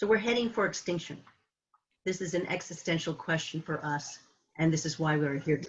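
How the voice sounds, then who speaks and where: With a West Coast accent, a woman speaks at a moderate pace in a fairly low, somewhat breathy voice with lively intonation. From San Francisco, California. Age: 70s. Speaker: climate activist. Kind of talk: presentation. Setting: video call.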